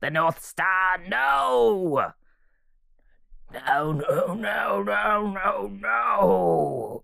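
Someone uses a put-on character voice at a middle pitch. The delivery is very slow. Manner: regal and aloof, turning anguished and bitter.

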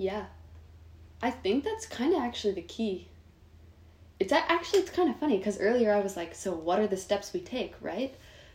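Somewhat breathy and at a medium pitch, a woman with an American accent speaks at a fairly quick pace with lively intonation and long, frequent pauses. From Northern California, Sonoma County. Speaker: young activist. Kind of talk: casual chat.

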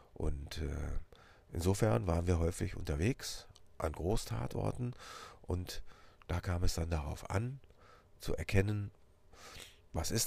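A man speaks very slowly in a very deep, low voice, somewhat breathy, with ordinary pitch variation, on a very clean recording with a silent background. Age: 50s. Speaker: police officer and podcast host. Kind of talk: personal introduction monologue.

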